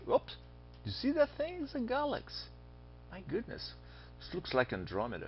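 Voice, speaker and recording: Against music in the background, a man speaks at a moderate pace, breaking often with long pauses. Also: big swings in loudness. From Brazil. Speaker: astronomy teacher. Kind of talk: lecture. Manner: animated.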